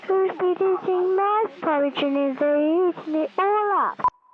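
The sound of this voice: Someone uses a put-on character voice at an extremely high pitch. The pace is moderate.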